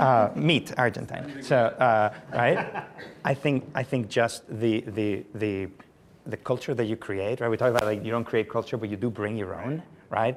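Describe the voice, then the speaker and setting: At a moderate pace, a man with a Spanish accent speaks at a medium pitch with ordinary pitch variation, and there is noticeable background noise. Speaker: company founder. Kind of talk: panel discussion.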